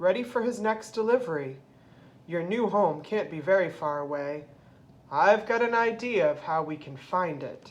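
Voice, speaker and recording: A woman uses a put-on character voice at a medium pitch and a moderate pace. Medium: read story.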